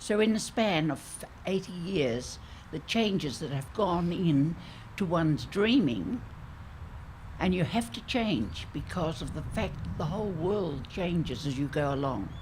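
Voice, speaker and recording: A woman's fairly low voice with vocal fry and very wide pitch swings, at a fairly slow pace, with audible room echo. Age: 80s+. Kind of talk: public conversation.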